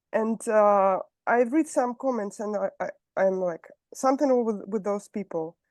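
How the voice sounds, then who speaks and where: With a Russian accent, a woman speaks at a moderate pace in a fairly high pitch with ordinary pitch variation, in a dry, close sound with no echo. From southern Russia, Rostov-on-Don. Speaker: meeting participant. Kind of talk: question and answer. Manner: halting.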